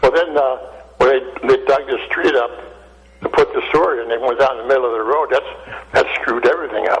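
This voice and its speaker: Noticeable background noise surrounds a man speaking at a fairly quick pace. He leaves long, frequent pauses. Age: 80s+. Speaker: caller. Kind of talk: call-in chat.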